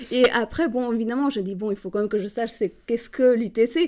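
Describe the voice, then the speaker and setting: This woman talks at a fairly quick pace in a fairly high pitch. Her tone is dark and mellow, with a non-native accent. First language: not French (speaking French). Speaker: master's student. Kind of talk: casual interview. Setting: podcast. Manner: halting.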